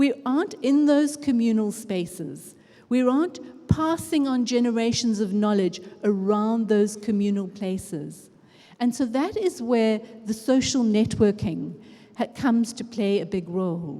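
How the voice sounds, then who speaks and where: Fairly slowly and with lively intonation, a woman speaks at a fairly high pitch in a dark, mellow tone that is somewhat breathy. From Africa. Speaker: education researcher and conference speaker. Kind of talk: conference talk. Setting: stage with audience. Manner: conversational.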